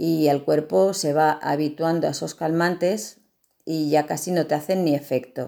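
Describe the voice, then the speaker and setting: Speaking at a very deep, low pitch, a woman is captured in a very clean recording against a silent background. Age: 50s. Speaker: patient. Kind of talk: testimony.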